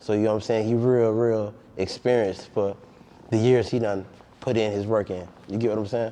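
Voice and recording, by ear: Fairly low-pitched and dark, mellow in tone, a man speaks at a moderate pace with fairly even intonation.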